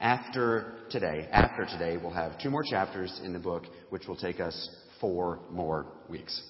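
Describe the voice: There is audible room echo around a man's raspy, low-pitched voice, which has ordinary pitch variation.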